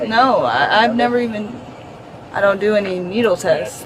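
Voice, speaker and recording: Moderate-paced female speech amid noticeable background noise and audible room echo. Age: 20s. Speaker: arrested driver. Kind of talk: argument with police. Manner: slurred speech; stuttering.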